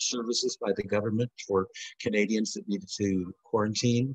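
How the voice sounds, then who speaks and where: In a dry, close sound with no echo, a man with an American accent talks very fast at a medium pitch, somewhat breathy and with fairly even intonation. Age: 60s. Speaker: alumna. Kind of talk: casual chat. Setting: video call.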